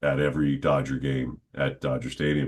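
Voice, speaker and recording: A man's very deep, low voice with vocal fry, at a moderate pace. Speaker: stadium PA announcer and podcaster. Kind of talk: interview answer, casual conversational talk. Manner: conversational, with hesitations and filler words.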